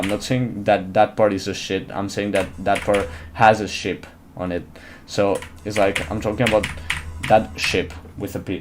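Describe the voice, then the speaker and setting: A man with a non-native accent speaks at a fairly low pitch over noticeable background noise. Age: young. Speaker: gaming streamer. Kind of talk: live game stream commentary. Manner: animated.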